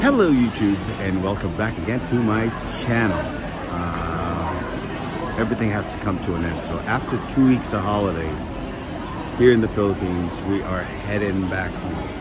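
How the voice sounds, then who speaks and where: Over music in the background, a man speaks with ordinary pitch variation in a dry sound with no echo. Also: moderate pace. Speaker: travel vlogger. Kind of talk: casual vlog chat. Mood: cheerful, a bit wistful. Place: station. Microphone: phone near.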